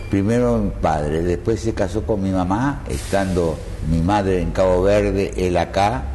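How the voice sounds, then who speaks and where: Lively intonation at a fairly slow pace, with very even loudness, audible room echo and noticeable background noise. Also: man, very deep, low pitch for a man. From Argentina. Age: 80s+. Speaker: retired milonga dancer. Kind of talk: interview.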